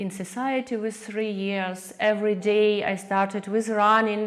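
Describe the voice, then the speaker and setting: With a Ukrainian accent, a woman speaks at a medium pitch in a flat monotone at a fairly slow pace, over noticeable background noise. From Ukraine, Kyiv; born in Soviet Far East. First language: Ukrainian or Russian. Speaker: artist. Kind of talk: interview. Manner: halting, many fillers.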